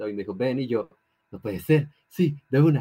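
A man talks at a fairly quick pace and a medium pitch, with ordinary pitch variation, in an ordinary speaking voice. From Colombia. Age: 18. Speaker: law student and debater. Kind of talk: casual interview.

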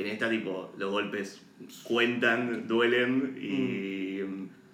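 Noticeable background noise and audible room echo surround a man speaking with fairly even intonation. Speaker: podcast co-host, film commentator. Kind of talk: casual chat.

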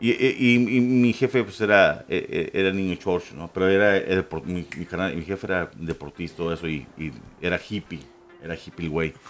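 Moderate speed from a man with a very deep, low voice and ordinary pitch movement. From Ciudad Juárez, northern Mexico (US border). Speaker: podcast guest, paranormal enthusiast. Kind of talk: casual chat.

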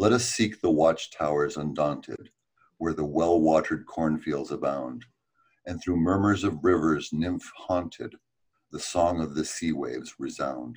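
This man's voice is very deep and low, with vocal fry. He speaks at a fairly slow pace with ordinary pitch variation. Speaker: musician. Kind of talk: podcast interview, casual chat.

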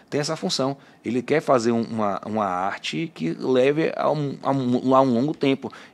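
Lively intonation marks a man's speech in a plain, everyday voice at medium pitch. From Bahia, Brazil. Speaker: podcast host, tattoo artist. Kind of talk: casual interview chat. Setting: studio.

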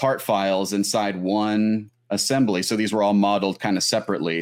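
A man's unremarkable speaking voice at a fairly quick pace. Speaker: podcast co-host guest. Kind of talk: casual technical explanation. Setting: video call.

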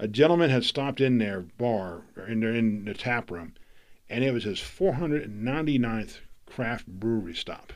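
An ordinary speaking voice, a man with an American accent talks at a moderate pace at medium pitch with lively intonation. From Florida. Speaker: podcast host. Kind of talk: interview. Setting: studio.

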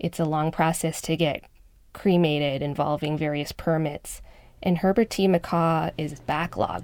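Her pitch very deep and low, a woman speaks with fairly even intonation on a very clean recording with a silent background. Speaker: reporter. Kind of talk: narrated reporting conversation. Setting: studio.

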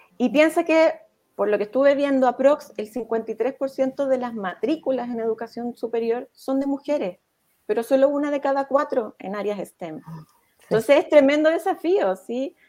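A fairly slow pace, lively intonation, big swings in loudness and a dark, mellow tone. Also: woman. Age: 40s. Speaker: psychologist and leadership coach. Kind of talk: interview.

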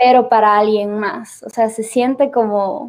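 With a dark, mellow tone, a woman speaks at a fairly high pitch and with fairly even intonation. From Ecuador, Cuenca. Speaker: singer. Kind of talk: casual interview chat.

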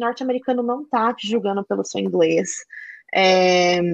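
This woman's pitch swings very widely. She keeps a moderate pace. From Brazil. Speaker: public relations professional. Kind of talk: interview.

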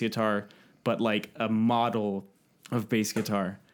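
Speaking at a moderate pace, a man with a Californian accent keeps to a medium pitch. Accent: General American (Californian). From US West Coast (San Francisco Bay Area, East Bay). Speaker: podcaster and game maker. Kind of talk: casual chat.

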